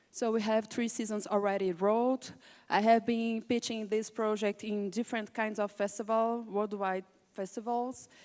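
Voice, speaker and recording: On a very clean recording with a silent background, a woman with a Portuguese accent speaks at a moderate pace in a fairly high pitch, her intonation monotone and flat. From Brazil, Rio de Janeiro. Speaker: film cinematographer and director. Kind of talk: panel presentation. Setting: conference panel. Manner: halting, searching for words.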